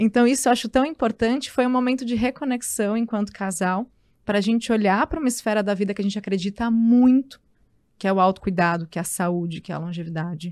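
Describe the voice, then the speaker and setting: Dry and close with no echo, a woman's unremarkable speaking voice moves at a fairly quick pace in a medium pitch with ordinary pitch variation. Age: 30s. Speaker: journalist and wellness entrepreneur. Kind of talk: casual chat.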